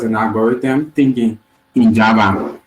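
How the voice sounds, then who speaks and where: A man with a Liberian accent and ordinary pitch variation, music in the background. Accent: Liberian, lighter than usual. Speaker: software engineer teaching a coding session. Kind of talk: online lecture.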